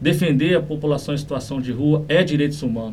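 A fairly high-pitched man, somewhat breathy, dark and mellow in tone, at a fairly quick pace amid audible room echo. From Brazil, Niterói (Rio de Janeiro state). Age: 30s. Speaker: municipal human rights secretary, lawyer. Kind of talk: interview.

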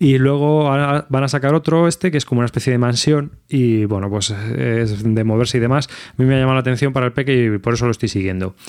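A man at a very fast pace, with hardly any pauses. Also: medium pitch for a man, ordinary pitch variation. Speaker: podcast host. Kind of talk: casual chat. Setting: video call.

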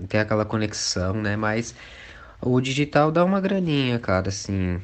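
A man with an unremarkable speaking voice, medium in pitch, at a moderate pace with lively intonation. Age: 20s. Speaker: singer and dancer. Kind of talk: casual chat.

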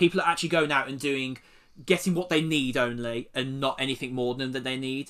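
This man's tone is bright and sharp, set at a medium pitch. He talks at a fairly quick pace with fairly even intonation. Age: 20s. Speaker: podcast host, portrait photographer. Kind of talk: casual chat.

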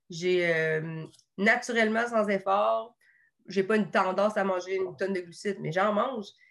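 The speaker is a woman with an ordinary speaking voice and a medium pitch. Her pace is moderate, and her pitch variation is ordinary. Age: 30s. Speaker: nutritionist. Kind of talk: casual interview.

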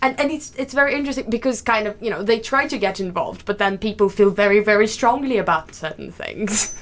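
Over noticeable background noise, a woman talks at a very fast pace with hardly any pauses, her pitch fairly high with ordinary variation. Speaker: podcast co-host, research student. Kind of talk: interview.

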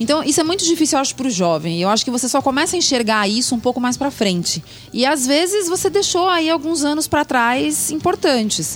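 A high-pitched woman at a fairly quick pace, hardly any pauses and very wide pitch swings, over noticeable background noise. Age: 40s. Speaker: podcast co-host. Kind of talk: casual chat.

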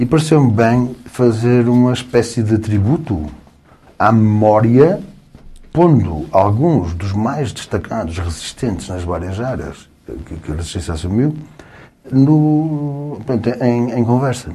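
A man talks at a very slow pace with a medium pitch. His intonation is lively. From northern Portugal, Guimarães. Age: 60s. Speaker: lawyer. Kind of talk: casual chat.

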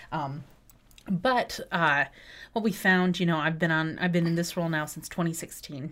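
A woman with an American accent and a normal speaking voice talks at a moderate pace in a fairly low pitch with ordinary pitch variation, recorded very cleanly against a silent background. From West Michigan. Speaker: arts center managing director. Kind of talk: casual interview chat.

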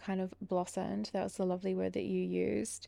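The speaker is a woman in an Australian accent. Little else is heard in the quiet background. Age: 20s. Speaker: podcast co-host. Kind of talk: casual chat.

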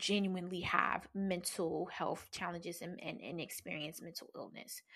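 Bright and sharp in tone, a woman speaks at medium pitch. Her pace is fairly slow and her intonation fairly even. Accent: American. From New Jersey. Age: 40s. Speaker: podcast host, pleasure practitioner. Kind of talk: personal storytelling monologue. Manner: casual, frequent laughter.

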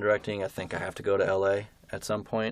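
In a very clean recording with a silent background, a man with an American accent talks at a very fast pace in a monotone, flat intonation. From New Jersey, Berkeley Heights. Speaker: college student and aspiring TV director. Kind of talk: casual interview. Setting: studio sound booth. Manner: hesitant, many fillers.

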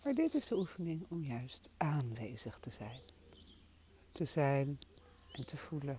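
Delivered at a very slow pace, the speech is broken by long, frequent pauses. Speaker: meditation teacher. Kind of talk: guided meditation. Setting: outdoors. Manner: soft-spoken. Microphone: crackling interference.

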